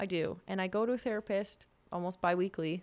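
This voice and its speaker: A woman's medium-pitched voice with a Canadian accent, on a very clean recording with a silent background. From Saskatchewan, Canada. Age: 30s. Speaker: nurse. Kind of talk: casual interview chat.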